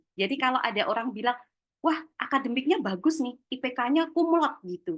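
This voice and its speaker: High-pitched woman at a moderate pace. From Java, Yogyakarta. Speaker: webinar speaker on career skills. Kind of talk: webinar talk. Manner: casual, chatty.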